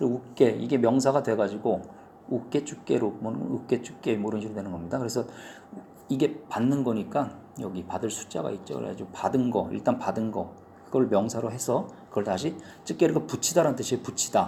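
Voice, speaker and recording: A man at a medium pitch, fairly quick and with lively intonation, amid audible room echo. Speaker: Japanese language teacher. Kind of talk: lecture. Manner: casual, with hesitations.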